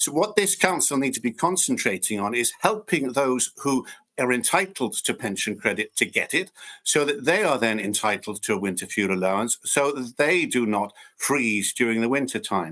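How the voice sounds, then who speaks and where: This man's bright, sharp voice sits at a medium pitch and swings very widely up and down as he moves at a moderate pace, all on a very clean recording with a silent background. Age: 60s. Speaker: local councillor. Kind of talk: council meeting debate.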